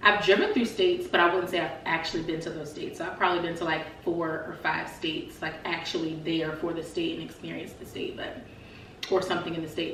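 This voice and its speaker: Over noticeable background noise and audible room echo, a woman with a fairly low pitch talks at a fairly quick pace. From Virginia, Norfolk area. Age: 20s. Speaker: vlogger. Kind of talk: personal testimony vlog. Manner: fast; casual, halting.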